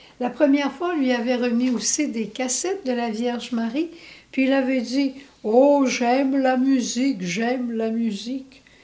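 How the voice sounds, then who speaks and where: A woman speaks at a high pitch and fairly slow pace with a dark, mellow tone. Her loudness swings widely, and the room echo is audible. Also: ordinary pitch variation. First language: English (speaking French). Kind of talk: religious testimony.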